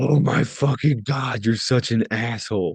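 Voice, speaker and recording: Putting on a character voice, a man sounds raspy at a medium pitch, with fairly even intonation and a moderate pace. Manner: angry.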